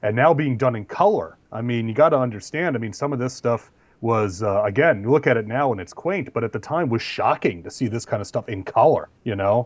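A man's unremarkable speaking voice, medium in pitch, at a fairly quick pace with lively intonation and hardly any pauses. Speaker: podcast co-host. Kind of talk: casual banter podcast chat.

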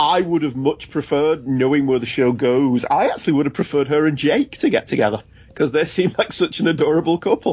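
A man with an English accent and a fairly high pitch talks at a very fast pace with hardly any pauses and ordinary pitch variation. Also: very even loudness. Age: 40s. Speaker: podcast host. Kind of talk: casual banter, TV episode discussion.

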